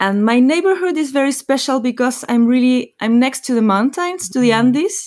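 In a Spanish accent, a woman talks at a fairly quick pace with hardly any pauses, her high pitch carrying lively intonation. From Chile. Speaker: botanical artist. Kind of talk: interview.

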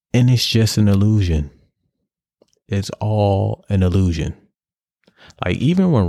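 A man with a New York accent at a fairly slow pace, in a dry, close sound with no echo on a very clean recording with a silent background. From New York City, Harlem. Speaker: podcast host. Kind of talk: solo rant. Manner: animated.

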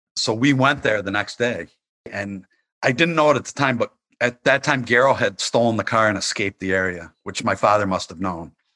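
Over a quiet background, a man with an American accent talks at a fairly quick pace. His tone is bright and sharp, with lively intonation. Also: medium pitch for a man. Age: 50s. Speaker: journalist and author. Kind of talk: interview.

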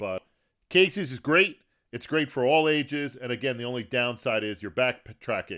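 A man speaks in an unremarkable speaking voice at medium pitch and a moderate pace. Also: lively intonation. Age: 50s. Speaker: podcast host. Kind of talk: solo podcast tips monologue. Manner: casual, conversational.

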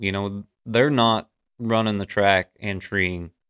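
A man with an ordinary speaking voice talks at a fairly low pitch, his intonation fairly even. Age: 40s. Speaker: podcast host and coon dog trainer. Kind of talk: casual chat.

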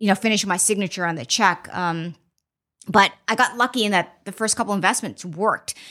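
In an American accent, a woman talks at a moderate pace with a bright, sharp tone. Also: very clean recording, silent background. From Boston, Massachusetts (childhood partly in Mozambique). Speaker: venture capitalist. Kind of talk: interview. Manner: soft-spoken; hesitant, many fillers.

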